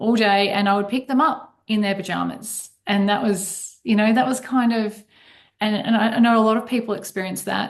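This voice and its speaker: Speaking at a moderate pace, a woman has a fairly high voice. She talks in an Australian accent. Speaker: accountant and financial advisor. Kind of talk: podcast interview.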